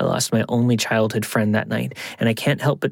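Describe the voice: Someone does plain reading aloud here.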